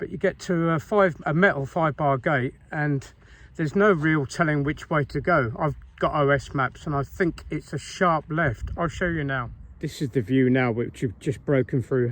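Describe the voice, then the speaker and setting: Delivered at a moderate speed, an ordinary speaking voice shows ordinary pitch variation. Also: man, fairly high pitch for a man. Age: 60s. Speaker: hiker vlogger. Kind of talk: walking vlog narration. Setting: outdoors. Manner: casual, conversational.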